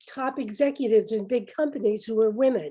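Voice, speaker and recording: Over a quiet background, a woman speaks with a fairly high pitch, a dark, mellow tone, and ordinary pitch variation. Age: 80s+. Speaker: retired teacher and feminist activist. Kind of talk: panel discussion testimony. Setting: video call.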